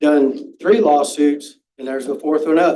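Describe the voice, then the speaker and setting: A man speaks in a dark, mellow tone at a fairly high pitch. His pace is fairly slow. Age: 70s. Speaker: public commenter at school board meeting. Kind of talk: public comment.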